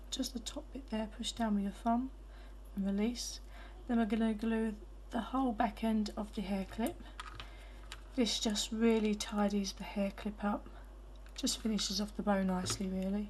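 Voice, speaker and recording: Against noticeable background noise, a woman talks at a moderate pace with long, frequent pauses. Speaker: hairbow crafter. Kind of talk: craft tutorial.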